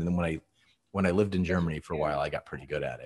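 A man's very deep, low-pitched voice over a quiet background. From Texas. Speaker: conductor and interviewer. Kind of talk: casual chat. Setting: video call. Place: home room.

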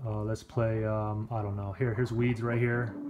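A man talks at a moderate pace with noticeable noise in the background. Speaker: tech reviewer. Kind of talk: tutorial. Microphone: phone near.

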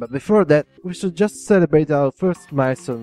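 Music plays behind a man speaking with ordinary pitch variation. The sound is dry and close, with no echo. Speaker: gaming YouTuber. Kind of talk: casual talk to camera. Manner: hesitant, many fillers.

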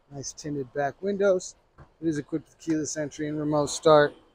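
Here a man speaks with fairly even intonation. The sound is dry, with no echo. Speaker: car salesperson. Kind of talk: vehicle walkaround commentary. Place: street. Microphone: phone near.

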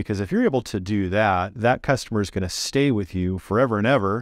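The man's pitch is fairly low, and his intonation stays fairly even. The sound is dry with no echo over a quiet background. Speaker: show host. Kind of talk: interview host commentary. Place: studio. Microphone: lapel.

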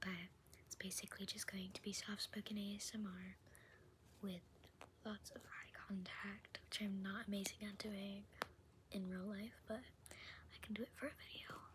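A woman speaks with long, frequent pauses. Background noise is noticeable. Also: moderate pace. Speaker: ASMR creator. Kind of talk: casual talk to camera. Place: home room. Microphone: phone near.

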